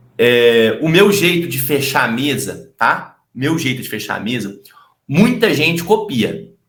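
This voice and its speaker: The man's fairly high voice swings very widely in pitch at a fairly slow pace, with audible room echo around it. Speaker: sales trainer and YouTuber. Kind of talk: casual interview chat.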